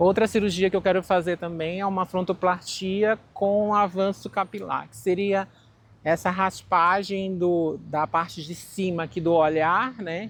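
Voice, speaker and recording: A woman talks at a fairly slow pace in a medium pitch. Her intonation is fairly even, while her loudness swings widely. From Brazil, Manaus (Amazonas). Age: 40s. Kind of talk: personal testimony interview.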